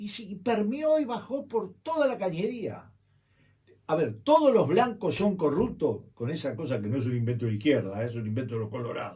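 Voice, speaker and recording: With very wide pitch swings, a man speaks in a somewhat breathy, dark, mellow tone. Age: 70s. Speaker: journalist and political campaign strategist. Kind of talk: radio interview. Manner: animated.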